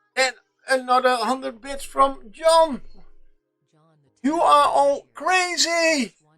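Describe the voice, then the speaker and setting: High-pitched speech from a woman, with music in the background. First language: not English. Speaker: miniature painting streamer. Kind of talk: live stream chat while painting. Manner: stuttering, halting; animated.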